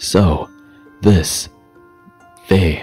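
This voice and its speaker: A soft-spoken man with ordinary pitch variation over background music. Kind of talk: bedtime story reading. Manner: slow, calm.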